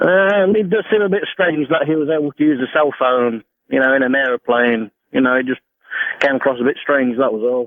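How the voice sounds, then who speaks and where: This man has a fairly high pitch and an English accent. His intonation is lively and his loudness very even. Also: fairly quick pace. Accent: obvious English. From England. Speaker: caller, truck driver. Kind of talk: radio call-in. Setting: phone call.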